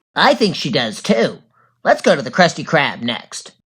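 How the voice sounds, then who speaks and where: In a cartoonish character voice, a man speaks at a high pitch with very wide pitch swings. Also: moderate pace. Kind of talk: comedy cartoon character dialogue.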